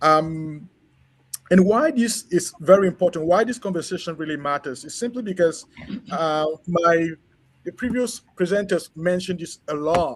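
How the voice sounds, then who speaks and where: A man with a French accent and a high voice speaks at a moderate pace, his loudness swinging widely while his pitch varies in the ordinary way. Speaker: education researcher and former school principal. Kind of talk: conference presentation. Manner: halting, many fillers.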